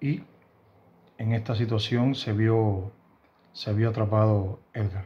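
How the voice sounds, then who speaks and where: A man speaks at a very slow pace, his voice somewhat breathy with a dark, mellow tone and fairly low pitch. His intonation stays fairly even, broken by long, frequent pauses. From Cuba, Havana. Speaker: YouTuber commenting on Cuban news. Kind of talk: news commentary monologue. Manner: halting, with frequent fillers and repetitions. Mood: serious, concerned. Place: home room.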